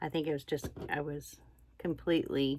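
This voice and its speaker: A woman with a very deep, low pitch and vocal fry speaks at a moderate pace in a relaxed tone. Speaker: stitching vlogger. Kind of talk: casual chat while crafting. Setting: indoors, camera in front. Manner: quiet, hard to hear; relaxed, halting with fillers.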